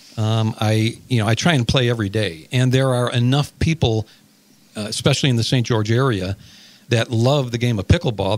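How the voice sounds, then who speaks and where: A man with an American accent speaks at a medium pitch and a moderate pace. He has a plain, everyday voice with fairly even intonation. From Chicago, US Midwest. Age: 60s. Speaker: sports director. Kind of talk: radio interview.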